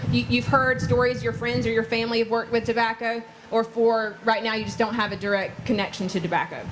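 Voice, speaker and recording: Someone speaks at a fairly quick pace with a Southern US accent and fairly even intonation. Noticeable background noise runs underneath. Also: woman. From North Carolina. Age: 20s. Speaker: farmer. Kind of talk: public talk.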